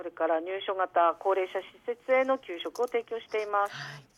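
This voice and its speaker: A woman's medium-pitched, ordinary speaking voice with lively intonation at a fairly slow pace, in a dry, close recording with no echo. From Aomori, Goshogawara. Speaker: company president, caterer. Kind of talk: radio interview. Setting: phone call.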